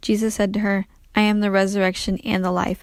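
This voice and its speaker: A woman with a medium-pitched voice is heard in a very clean recording with a silent background. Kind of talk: scripture reading.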